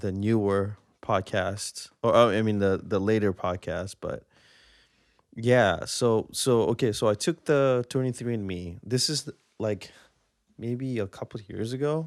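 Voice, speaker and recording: Speech comes at a fairly slow pace with ordinary pitch variation and a slight Singaporean accent. The sound is dry and close with no echo, on a very clean recording with a silent background. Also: man, fairly low pitch for a man. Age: 30s. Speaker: podcaster. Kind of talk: casual monologue. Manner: halting, many fillers and repeats.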